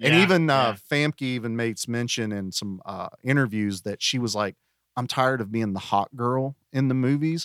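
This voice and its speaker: A man's medium-pitched voice in a Southern US accent, at a moderate pace with ordinary pitch variation and a dry, close sound with no echo. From US South. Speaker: podcast guest. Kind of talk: casual chat.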